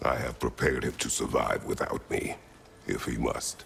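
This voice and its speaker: A man speaks in a cartoonish character voice at a moderate pace. Background noise is clearly audible. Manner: terse, grave.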